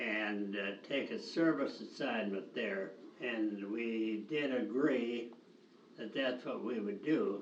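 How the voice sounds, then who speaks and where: Very slow speech in an American accent, with ordinary pitch variation and noticeable background noise. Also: man, medium pitch for a man. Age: 80s+. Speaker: retired teacher and camp director. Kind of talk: interview answer, reminiscing. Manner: hesitant, slow.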